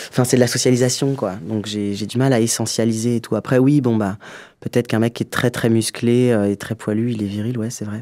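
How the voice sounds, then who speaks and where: A man's medium-pitched voice with a dark, mellow tone, fairly quick pace and flat, monotone intonation. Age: 40s. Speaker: comedian and filmmaker. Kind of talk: interview. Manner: fast.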